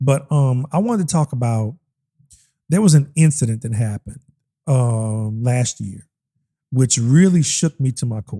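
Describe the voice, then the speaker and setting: A man with a medium-pitched, somewhat breathy voice speaks in a dark, mellow tone with ordinary pitch variation, the sound dry and close with no echo. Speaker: podcast co-host, musician. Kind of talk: casual chat. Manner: fast; animated.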